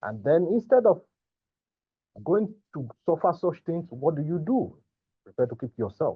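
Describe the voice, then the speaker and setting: A man's high-pitched voice with a strong Nigerian accent, very wide pitch swings and big swings in loudness at a moderate pace, with long, frequent pauses. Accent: thick Nigerian. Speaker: migrant sharing mental health experience. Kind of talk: testimony.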